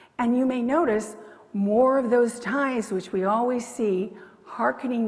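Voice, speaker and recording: A woman with a fairly high voice and ordinary pitch variation talks at a medium speed as noticeable noise sounds behind her. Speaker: pastor. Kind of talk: sermon. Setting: church.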